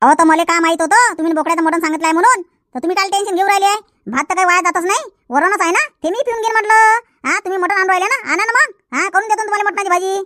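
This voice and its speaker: In a cartoonish character voice, a woman speaks very fast at an extremely high pitch with lively intonation. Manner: sharp, quick-tongued.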